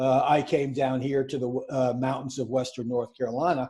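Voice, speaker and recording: Flat and monotone, a man with a New York accent talks at a medium pitch in a dark, mellow tone. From New York City. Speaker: podcast co-host. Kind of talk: casual chat.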